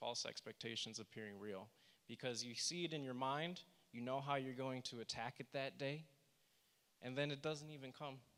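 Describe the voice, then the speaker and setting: A plain, everyday voice from a man, at a moderate speed, with medium pitch and ordinary pitch variation. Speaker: workshop presenter. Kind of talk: presentation.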